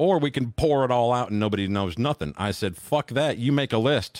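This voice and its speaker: Male voice at medium pitch and moderate pace, lively in intonation, in a dry, close sound with no echo and a very clean recording over a silent background. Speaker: podcast guest.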